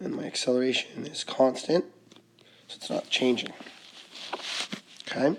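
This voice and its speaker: Noticeable background noise is present. The speaking goes at a fairly slow pace. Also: man. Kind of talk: tutorial.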